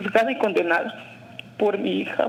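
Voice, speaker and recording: A woman speaks at a fairly slow pace. Background noise is noticeable. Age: 60s. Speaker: caller. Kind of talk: testimony.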